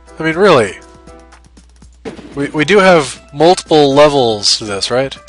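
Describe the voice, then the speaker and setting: A man's voice with lively intonation over background music. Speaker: let's play gamer. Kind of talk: casual gameplay commentary.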